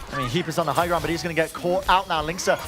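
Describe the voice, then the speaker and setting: Music plays in the background. Over it, a man speaks in a high voice. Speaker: esports commentator / caster. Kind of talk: live esports match commentary. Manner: fast-paced, excited play-by-play.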